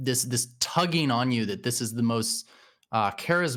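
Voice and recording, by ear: Someone reads a text aloud. Their voice is natural.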